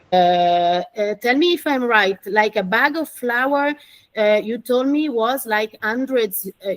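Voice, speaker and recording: At a very slow pace, a woman speaks with an Italian accent in a fairly high voice with lively intonation. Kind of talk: interpreting for event audience. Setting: exhibition opening with audience.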